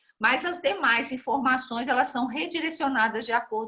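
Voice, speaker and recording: Bright and sharp in tone, a woman speaks with a high pitch and lively intonation. Her pace is moderate. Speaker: lecturer. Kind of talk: lecture.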